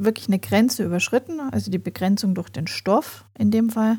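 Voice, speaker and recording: Somewhat breathy and dark, mellow in tone, a woman's fairly high-pitched voice comes through a very clean recording with a silent background. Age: 40s. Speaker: podcast host and family coach. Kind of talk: solo podcast monologue.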